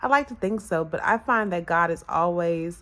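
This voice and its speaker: Her fairly low-pitched voice shows ordinary pitch variation, and the woman is heard on a very clean recording with a silent background. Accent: American. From Washington DC area, US Northeast. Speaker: spiritual coach. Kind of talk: personal vlog monologue. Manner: hesitant, many fillers.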